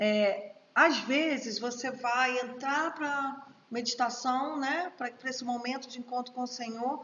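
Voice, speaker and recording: A woman's high-pitched voice. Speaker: teacher at a prophetic school. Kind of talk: live online course. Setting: livestream.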